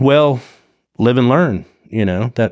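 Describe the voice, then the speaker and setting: A man with a plain, everyday voice speaks at a moderate pace with ordinary pitch variation, recorded very cleanly against a silent background. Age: 60s. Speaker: wreck diver and explorer. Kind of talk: casual chat.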